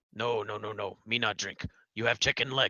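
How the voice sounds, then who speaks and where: A man puts on a raspy character voice at a medium pitch, talking at a moderate pace with monotone, flat intonation. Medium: actual play. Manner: broken English, dropping articles and verb endings; blunt, short clipped sentences.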